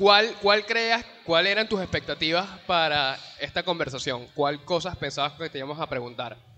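Amid noticeable background noise, a man with a high pitch speaks with lively intonation and hardly any pauses. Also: moderate pace. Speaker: podcast host. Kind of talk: casual chat. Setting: live stream in a shopping mall.

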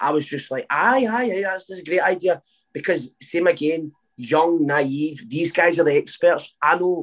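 A man with a Scottish accent speaks in a high pitch. His pace is moderate and his pitch variation ordinary. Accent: Scottish, Lanarkshire. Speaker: singer. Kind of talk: casual chat interview. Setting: video call.

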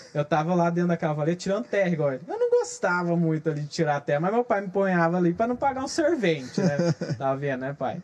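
High, very fast male speech with lively intonation amid noticeable background noise. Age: 20s. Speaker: social media influencer. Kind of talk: casual interview chat.

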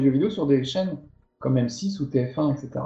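Amid audible room echo, a man with a fairly high, somewhat breathy voice speaks at a moderate pace with lively intonation. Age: 50s. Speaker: video game journalist and TV presenter. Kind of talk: casual interview.

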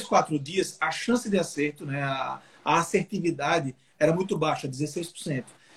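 A man talks in an ordinary speaking voice, fairly high in pitch, with ordinary pitch variation. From Brazil, Alagoas (Maceió). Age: 30s. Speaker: politician, mayoral pre-candidate. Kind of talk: interview on a live stream. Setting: video call live stream.

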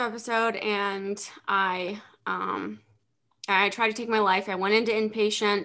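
Speaking in an American accent, a woman uses a bright, sharp tone at a fairly slow pace. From central Pennsylvania. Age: 30s. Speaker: mental health blogger. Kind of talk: interview about personal struggles.

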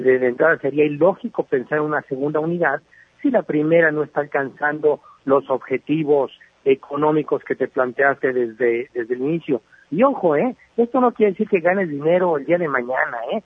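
This is an ordinary speaking voice, a man's with a fairly high pitch. He moves at a fairly quick pace with ordinary pitch variation. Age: 40s. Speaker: entrepreneur and business columnist. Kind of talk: radio interview.

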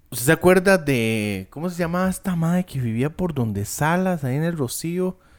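On a very clean recording with a silent background, a man talks at a fairly slow pace with very wide pitch swings. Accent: Costa Rican. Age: 30s. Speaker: podcast co-host. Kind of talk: casual chat.

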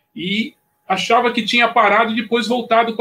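With a raised, projected voice and a bright, sharp tone, a man talks at a moderate pace. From São Paulo city, Brazil. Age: 60s. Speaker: surf journalist and historian. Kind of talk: live podcast discussion.

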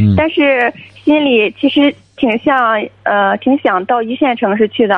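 High female voice at a fairly slow pace, very even in loudness, with ordinary pitch variation. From Shandong. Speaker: university student, caller. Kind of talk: call-in advice conversation.

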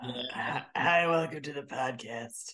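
This is a put-on character voice. It is raspy, with a low-to-middle pitch. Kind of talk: mock podcast host greeting.

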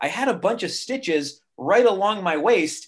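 A man is talking. His pitch swings very widely. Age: 40s. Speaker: music industry veteran, martial artist and cancer survivor. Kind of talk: interview conversation.

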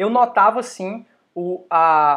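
On a very clean recording with a silent background, a man speaks at a high pitch in a bright, sharp tone. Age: 30s. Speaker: fitness youtuber. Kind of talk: casual chat. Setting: livestream.

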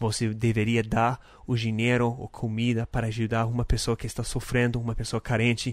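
On a very clean recording with a silent background, a man with a non-native accent speaks in a monotone, flat intonation. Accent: foreign accent in Portuguese. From North America. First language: English (speaking Portuguese). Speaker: podcast host. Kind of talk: casual devotional talk.

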